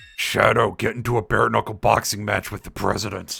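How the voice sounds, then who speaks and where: A man puts on a raspy, booming character voice, fairly low in pitch. He speaks fairly quickly in a flat monotone. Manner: goofy, booming.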